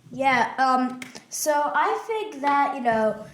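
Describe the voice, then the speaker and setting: A woman speaks with ordinary pitch variation. Noticeable background noise and audible room echo come through on the recording. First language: Russian. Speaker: podcast co-host. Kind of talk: casual political discussion. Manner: hesitant, many fillers.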